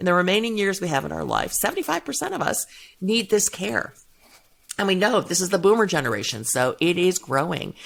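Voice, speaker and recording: A woman's medium-pitched voice with vocal fry, lively intonation, a fairly quick pace and an American accent. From US Midwest, suburban Cleveland, Ohio. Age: 60s. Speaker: gender equality and caregiving policy advocate. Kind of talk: podcast interview.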